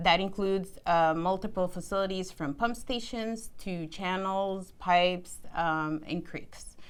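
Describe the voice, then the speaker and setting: A woman with a non-native accent talks at a fairly slow pace, at medium pitch with ordinary pitch variation. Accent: non-native accent, worked on reducing it. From immigrant, grew up outside the US. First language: not English. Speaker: civil engineer. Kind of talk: career interview.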